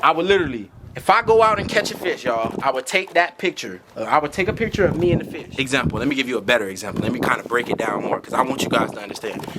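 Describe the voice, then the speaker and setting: Over noticeable background noise, the speaker races along at a very fast clip with hardly any pauses and very wide swings in pitch. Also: man, fairly high pitch for a man. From Florida. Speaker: YouTube creator. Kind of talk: tutorial. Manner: animated.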